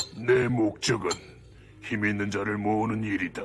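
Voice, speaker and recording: A man's cartoonish character voice, fairly low in pitch, at a moderate pace with clear background noise. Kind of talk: anime dub dialogue.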